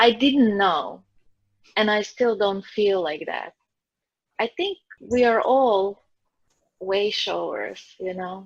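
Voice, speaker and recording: The woman's voice sits at a medium pitch with ordinary pitch variation. She speaks at a very slow pace. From Croatia. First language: Croatian and Slovenian. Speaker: psychic medium and energy healer. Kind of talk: interview.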